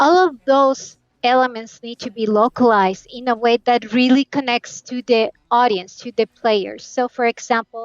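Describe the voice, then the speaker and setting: A woman with a Spanish accent speaks in a high voice with fairly even intonation, her loudness swinging widely, in a dry, close sound with no echo. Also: moderate pace. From Colombia. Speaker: game localization specialist. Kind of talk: interview.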